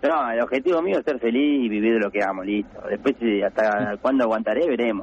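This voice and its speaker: Very even in loudness, a man talks at a very fast pace and a medium pitch with ordinary pitch variation. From Buenos Aires province, Argentina. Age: 30s. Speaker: professional footballer. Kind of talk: radio interview.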